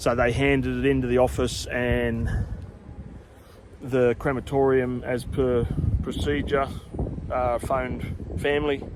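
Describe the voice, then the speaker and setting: Quiet and fairly slow, a man with an Australian accent speaks at a very even loudness with long, frequent pauses, amid audible room echo and noticeable background noise. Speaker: cemetery tour video host. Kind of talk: casual vlog talk. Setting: outdoors in a cemetery.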